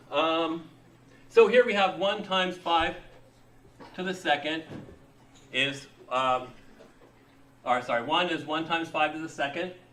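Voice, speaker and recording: A man speaks at a fairly slow pace, leaving long, frequent pauses. His fairly high pitch shows ordinary variation, with light background noise behind him. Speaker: college instructor. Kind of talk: lecture. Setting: classroom with students. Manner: halting, many fillers. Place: classroom.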